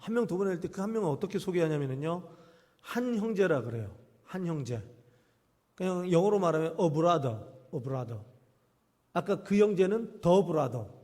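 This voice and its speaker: Speaking at a moderate pace, a man with a high pitch and a dark, mellow tone uses lively intonation amid audible room echo. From Jeolla region, South Korea (island-born). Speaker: pastor. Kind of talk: sermon. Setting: church. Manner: animated, call-and-response questions.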